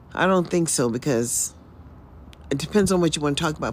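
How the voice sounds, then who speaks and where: A woman with an American accent, fairly quick and with lively intonation. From US South (Mississippi). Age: 60s. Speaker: livestreamer. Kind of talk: casual livestream monologue. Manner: rambling, conversational.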